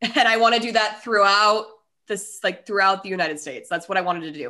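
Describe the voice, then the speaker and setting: A woman speaks in an animated, bright and sharp tone at a medium pitch with an American accent. She talks very fast over a quiet background. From US, Colorado (Denver). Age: 30s. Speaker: podcaster. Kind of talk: casual interview chat.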